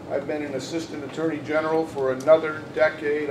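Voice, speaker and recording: A man speaks at a moderate pace and fairly high pitch. Room echo is audible, along with noticeable background noise. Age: 60s. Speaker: judicial candidate. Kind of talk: candidate forum statement. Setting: panel event with audience.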